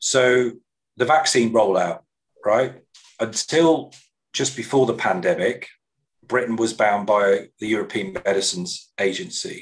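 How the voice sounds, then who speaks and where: A man with an English Midlands accent speaks at a fairly slow pace and medium pitch, with ordinary pitch variation. His loudness stays very even, and his pauses are long and frequent. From English Midlands, Coventry. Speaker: education sector executive. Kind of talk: interview conversation. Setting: video call.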